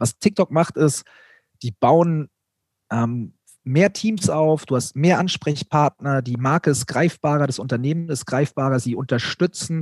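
With a plain, everyday voice, a man speaks fairly slowly at a fairly high pitch with ordinary pitch variation, on a very clean, dry, close recording with a silent background and no echo. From Bavaria, Germany. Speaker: content creator, YouTuber. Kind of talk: casual chat.

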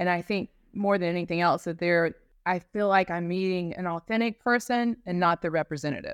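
A woman with an American accent and an ordinary speaking voice talks at a fairly quick pace and fairly low pitch with ordinary variation. The very clean recording has a silent background and a dry, close sound with no echo. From North Carolina mountains. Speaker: law firm business development director. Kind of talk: casual interview.

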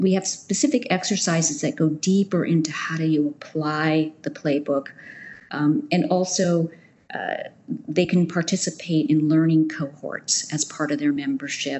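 A woman with an American accent and a normal speaking voice, fairly low in pitch, with ordinary pitch variation and a moderate pace. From United States. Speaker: nonprofit managing director. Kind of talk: interview.

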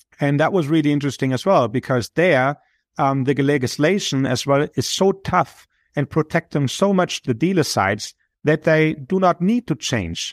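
Pitched fairly high, a man speaks at a moderate pace with lively intonation and very even loudness in a very clean recording with a silent background. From Germany. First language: German. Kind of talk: interview.

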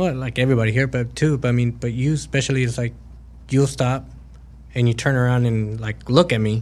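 Moving at a fairly quick pace, a man with a plain, everyday voice talks at a medium pitch with fairly even intonation. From Mexico, raised in Texas. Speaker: truck driver. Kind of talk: interview, casual chat. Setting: studio.

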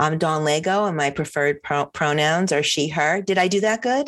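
An ordinary speaking voice with lively intonation moves at a moderate pace over a quiet background. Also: woman. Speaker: podcast host. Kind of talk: casual chat.

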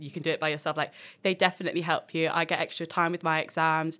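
A woman talks very fast in a flat, monotone intonation. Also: very clean recording, silent background. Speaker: university student. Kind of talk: casual panel chat.

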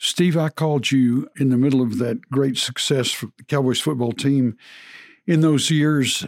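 With a Texan accent, a man talks at a fairly slow pace in a fairly high voice, his intonation fairly even and his loudness very even, in a dry, close recording with no echo. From Texas. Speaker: podcast host, former football coach. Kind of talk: casual chat.

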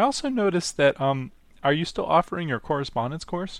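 A man talks very fast on a very clean recording where the background is silent. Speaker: radio host. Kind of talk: interview, casual chat.

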